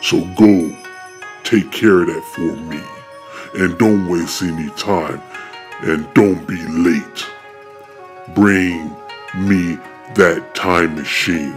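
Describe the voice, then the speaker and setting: Very slowly, a man speaks in a very deep, low voice while music plays clearly in the background. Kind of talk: amateur fan-film voice acting. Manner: bossy, impatient, gloating.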